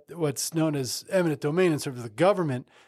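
In an American accent, an unremarkable speaking voice with ordinary pitch variation comes through on a very clean recording with a silent background. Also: man. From New Jersey. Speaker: lawyer and law firm founder. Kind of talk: casual interview chat.

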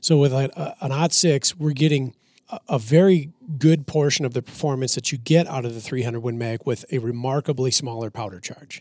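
A man with an American accent talks at a fairly quick pace in a normal speaking voice, his medium pitch showing ordinary variation. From Minnesota. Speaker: firearms and ballistics expert. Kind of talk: casual chat.

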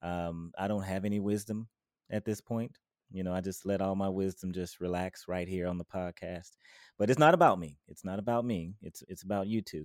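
In a dry, close sound with no echo, a man with a very deep, low pitch talks at a fairly quick pace with fairly even intonation. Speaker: podcast host. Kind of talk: casual interview chat.

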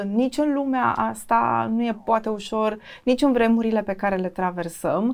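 The recording is very clean, with a silent background. An unremarkable speaking voice moves at a moderate pace with ordinary pitch variation. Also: woman, fairly high pitch for a woman. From Romania, Iași. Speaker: TV news presenter and journalist. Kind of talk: interview.

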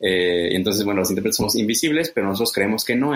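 Speaking in a plain, everyday voice, a man pitches low-ish, at a fairly low pitch, with ordinary pitch variation. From Mexico. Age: 30s. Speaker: conference interpreter and translator. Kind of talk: interview.

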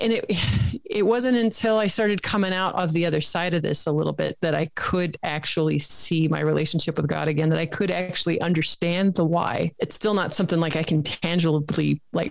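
The voice is a normal speaking voice with ordinary pitch variation. It moves at a fairly quick pace. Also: woman. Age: 40s. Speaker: health coach. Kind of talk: interview podcast chat.

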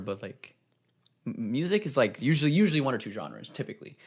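Lively intonation and vocal fry mark this man's speech, delivered at a very fast pace. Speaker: director and photographer. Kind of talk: casual chat.

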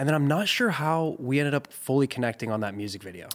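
At a fairly quick pace, a man with a plain, everyday voice speaks using lively intonation. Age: 20s. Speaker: music video director. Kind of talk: casual chat.

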